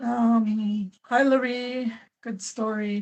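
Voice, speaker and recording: The voice is somewhat breathy. Its intonation stays monotone and flat. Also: woman. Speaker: YouTuber, live-stream host. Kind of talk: live stream chat, reading comments. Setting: live stream at home computer. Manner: talkative.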